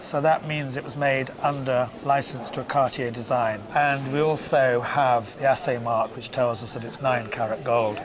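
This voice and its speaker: A man's medium-pitched voice at a moderate pace, with fairly even intonation, big swings in loudness, hardly any pauses, and music in the background. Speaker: antiques valuer and auctioneer. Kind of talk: TV antiques valuation.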